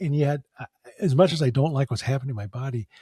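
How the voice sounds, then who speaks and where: On a very clean recording with a silent background and a dry, close sound with no echo, a man with an American accent speaks very fast in a dark, mellow tone. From US Midwest, central Wisconsin. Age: 70s. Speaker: chiropractor and face reader. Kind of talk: podcast interview. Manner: loud; halting, repeats words.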